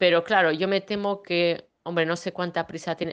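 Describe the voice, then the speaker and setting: A woman with a fairly low pitch speaks with ordinary pitch variation against a quiet background. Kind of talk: casual chat. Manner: halting, many fillers.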